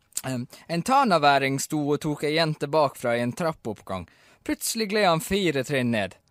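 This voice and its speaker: Lively intonation at a fairly slow pace, on a very clean recording with a silent background. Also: man, dry, close sound with no echo. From Bergen, Norway. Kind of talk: radio show banter.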